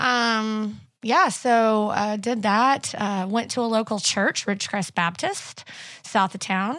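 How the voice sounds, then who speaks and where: In a very clean recording with a silent background, a woman with a Missouri accent speaks very slowly at a fairly high pitch with ordinary pitch variation. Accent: Midwestern American (Missouri). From southwest Missouri. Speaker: church staff member. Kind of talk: casual interview.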